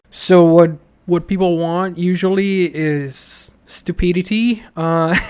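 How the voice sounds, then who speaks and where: Very slowly, a man with a high pitch speaks with fairly even intonation. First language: Italian. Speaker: podcaster and former comedy correspondent. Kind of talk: casual interview chat. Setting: podcast interview. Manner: halting, many fillers and restarts.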